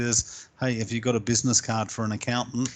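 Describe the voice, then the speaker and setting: Against a quiet background, a man talks at a moderate pace with a New Zealand accent. His intonation stays fairly even. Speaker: small business coach. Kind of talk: interview. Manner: hesitant, with frequent fillers.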